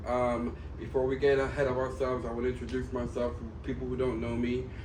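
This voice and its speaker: A man talks at a very fast pace. Noticeable background noise fills the clip. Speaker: podcast host, trainee wrestler. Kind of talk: podcast interview, casual talk.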